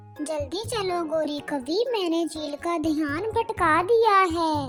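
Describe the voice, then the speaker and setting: A cartoonish character voice speaks at a very slow pace. Clear music plays in the background. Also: woman. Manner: wheedling, crafty.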